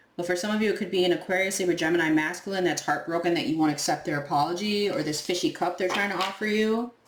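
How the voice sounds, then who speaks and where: Over noticeable background noise, a woman with a fairly low pitch talks very fast with ordinary pitch variation. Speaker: tarot reader. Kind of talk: tarot reading monologue. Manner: casual, animated; occasional stumbling.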